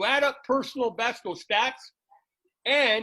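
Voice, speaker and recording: A man with a high pitch speaks at a moderate pace in a raised, projected voice. His tone is energetic, bright and sharp. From Canada. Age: 60s. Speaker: football coach and podcast host. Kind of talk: interview.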